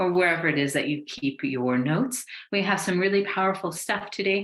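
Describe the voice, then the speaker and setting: Using lively intonation, a woman with an American accent talks at a fairly quick pace and a medium pitch. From USA. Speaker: business mentor. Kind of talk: webinar presentation. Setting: online webinar. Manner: enthusiastic.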